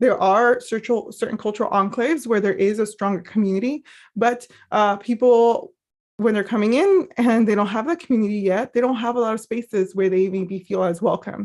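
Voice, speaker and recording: Speaking at a fairly quick pace with a Spanish accent, a woman uses a fairly high pitch and ordinary pitch variation against a quiet background. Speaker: mental health professional. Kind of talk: training presentation. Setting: live stream.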